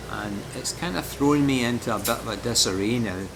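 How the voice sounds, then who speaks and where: Background noise is noticeable behind a man talking at a moderate pace. His pitch is medium, with ordinary variation. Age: 60s. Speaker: amateur marathon runner. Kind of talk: casual talk to camera, training vlog.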